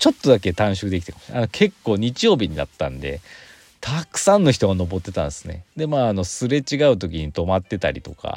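Vocal fry runs through this man's fairly quick delivery, which has very wide pitch swings and big swings in loudness, recorded with a dry, close sound and no echo. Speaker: podcaster. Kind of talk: casual solo talk. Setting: in a car.

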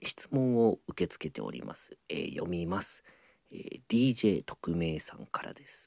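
Recorded with a dry, close sound and no echo, a man with a very deep, low pitch speaks at a fairly slow pace, making very wide pitch swings and big swings in loudness. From Ehime, Shikoku, Japan. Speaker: apprentice rakugo storyteller. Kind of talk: casual solo talk answering listener mail. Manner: many filler words (えー, あの).

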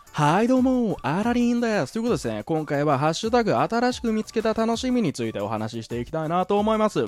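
A man talks very fast in a high, animated voice, with hardly any pauses. His pitch swings very widely, and music plays in the background. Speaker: solo podcaster. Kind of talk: casual monologue. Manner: animated, laughing.

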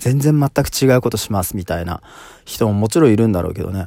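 A calm man's voice, dark and mellow, at medium pitch with very wide pitch swings. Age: 30s. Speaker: solo podcaster. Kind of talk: casual solo monologue. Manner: many filler words like um.

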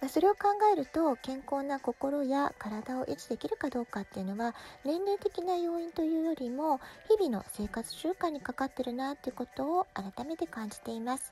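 Her tone is dark and mellow, yet this woman has a high pitch, very wide pitch swings, big swings in loudness and a moderate pace. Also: dry, close sound with no echo. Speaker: parenting podcaster. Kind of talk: casual monologue podcast.

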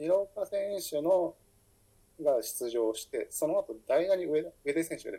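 A man at a fairly slow pace. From Fukuoka, Japan. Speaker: writer and editor. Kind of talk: solo podcast monologue. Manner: halting, many fillers.

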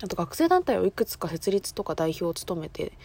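Quick-paced speech comes from a woman with a dark, mellow tone. The recording is very clean, with a silent background. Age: 20s. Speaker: student podcaster. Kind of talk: casual monologue.

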